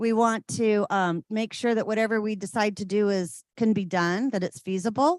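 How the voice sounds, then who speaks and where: With an ordinary speaking voice, a woman talks at a moderate pace and a fairly high pitch, her pitch varying in an ordinary way, in a dry, close sound with no echo against a quiet background. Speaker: city parks staff presenter. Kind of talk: public meeting presentation.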